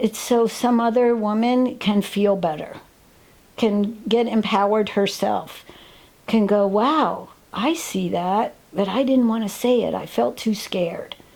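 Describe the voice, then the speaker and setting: Over noticeable background noise, a woman speaks fairly slowly at a fairly high pitch with ordinary pitch variation. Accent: American. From New York State. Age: 70s. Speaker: retired professor and artist. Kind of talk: personal interview testimony.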